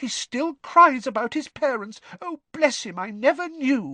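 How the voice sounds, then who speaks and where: Over a quiet background, a man performs a put-on character voice at an extremely high pitch, with lively intonation, big swings in loudness, a moderate pace, and a dry, close sound with no echo. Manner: anxious, tearful.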